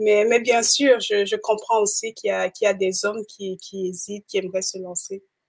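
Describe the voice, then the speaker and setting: With hardly any pauses, a woman keeps up a moderate pace. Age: 30s. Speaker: entrepreneur. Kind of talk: live interview. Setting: livestream.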